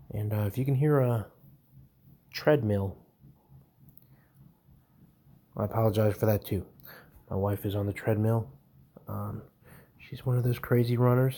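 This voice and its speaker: This man's voice is dark, mellow and somewhat breathy. He keeps his intonation fairly even, with long, frequent pauses. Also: moderate pace. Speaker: home tool reviewer. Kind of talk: casual narration over screen recording. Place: home room.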